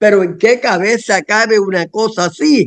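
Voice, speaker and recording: A high-pitched male voice with ordinary pitch variation. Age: 60s. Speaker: political activist. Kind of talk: casual chat.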